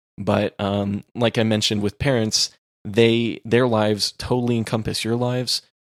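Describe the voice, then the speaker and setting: In a dry, close sound with no echo, a man speaks at a moderate pace with monotone, flat intonation. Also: medium pitch for a man. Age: young. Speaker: podcast co-host. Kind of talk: casual chat.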